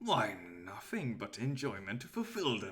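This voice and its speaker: A raspy, put-on character voice in a low-to-middle pitch moves at a moderate pace. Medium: actual play. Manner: grandiose, courteous.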